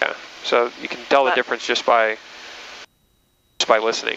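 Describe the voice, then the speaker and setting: The speech comes at a fairly quick pace with monotone, flat intonation and a dry sound with no echo, over light background noise. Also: man. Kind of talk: casual instruction. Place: plane.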